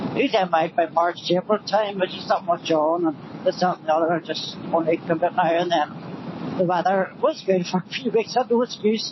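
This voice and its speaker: A Northern Irish accent at a fairly quick pace, hardly any pauses, and noticeable background noise. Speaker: motorbike vlogger. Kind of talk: casual vlog talk while riding. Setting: outdoors on a motorbike. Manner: loud, shouting.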